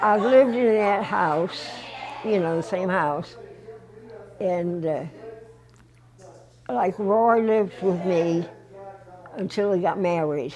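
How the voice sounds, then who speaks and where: Amid noticeable background noise and audible room echo, a woman speaks very slowly at a medium pitch, with ordinary pitch variation and long, frequent pauses. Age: 90s. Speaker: interviewee. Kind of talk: casual chat. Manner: halting.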